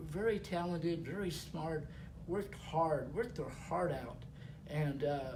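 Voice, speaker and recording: With a dark, mellow tone and a fairly high pitch, a man speaks fairly slowly with ordinary pitch variation, his voice echoing audibly in the room. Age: 70s. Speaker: network marketing leader. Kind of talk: interview. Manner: halting, many fillers.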